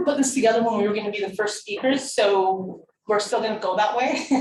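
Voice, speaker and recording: A woman's fairly quick speech with lively intonation and audible room echo. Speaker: harm reduction workshop facilitator. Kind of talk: workshop presentation. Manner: fast.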